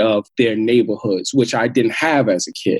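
A man speaks with an American accent. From Queens, New York. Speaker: social entrepreneur and hip hop artist. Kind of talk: interview.

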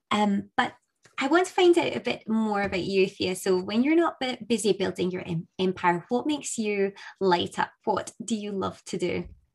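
In a Scottish accent, a woman talks at a moderate pace with lively intonation and a medium pitch. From Scotland. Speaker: podcast host. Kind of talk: interview.

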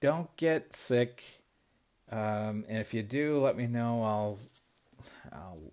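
Very slow and with ordinary pitch variation, a man speaks on a very clean recording with a silent background. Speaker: podcast host. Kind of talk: casual monologue. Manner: rambling, laughing often.

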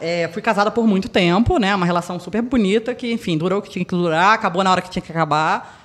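A woman rattles along at a very fast pace while noticeable background noise plays behind her. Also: medium pitch for a woman, ordinary pitch variation, hardly any pauses. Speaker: podcast guest. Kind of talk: casual chat.

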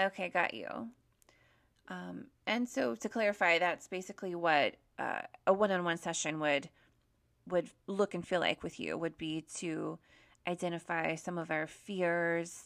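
An ordinary speaking voice, somewhat slow, with usual pitch variation. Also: woman, very clean recording, silent background. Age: 30s. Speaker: podcast host. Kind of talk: interview.

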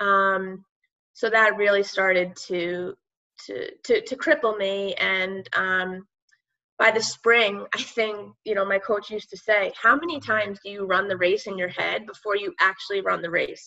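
In an American accent, a woman talks at a fairly slow pace with ordinary pitch variation. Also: medium pitch for a woman. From Long Island, New York. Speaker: former college athlete. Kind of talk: interview.

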